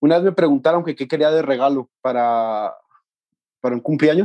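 Recorded with a dry, close sound, no echo and a quiet background, a man speaks at a fairly high pitch. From Mexico, Los Altos de Jalisco. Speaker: music student and band trombonist. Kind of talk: casual interview.

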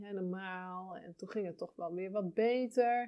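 This woman talks at a moderate pace in a medium pitch, with fairly even intonation. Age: 40s. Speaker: podcast host and birth counselor. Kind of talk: casual monologue. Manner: hesitant, many fillers.

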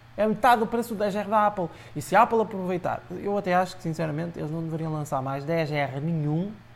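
At a high pitch, a man talks at a fairly quick pace with ordinary pitch variation. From Portugal, Aveiro district. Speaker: tech blogger. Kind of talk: casual chat. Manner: hesitant, frequent repetitions.

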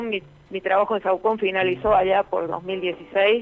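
A woman speaks fairly slowly. Her medium-pitched voice keeps fairly even intonation. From Argentina, La Rioja. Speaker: electronics engineer. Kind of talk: radio interview. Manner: halting.

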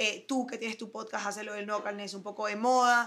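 A woman talks at a moderate pace in a bright, sharp tone. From Venezuela, Caracas. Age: 30s. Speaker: fashion designer. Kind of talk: interview. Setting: office.

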